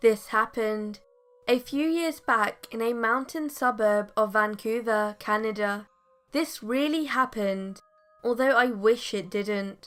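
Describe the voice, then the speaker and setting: With music in the background, a woman speaks at a fairly high pitch and a fairly slow pace. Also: ordinary pitch variation. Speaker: horror story narrator. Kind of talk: true scary story narration.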